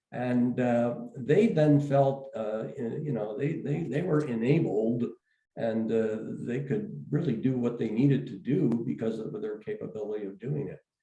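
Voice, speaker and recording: A man's medium-pitched voice with a dark, mellow tone, fairly slow pace, ordinary pitch variation and audible room echo. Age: 70s. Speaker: education executive. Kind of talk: interview. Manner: halting, many fillers and repeats.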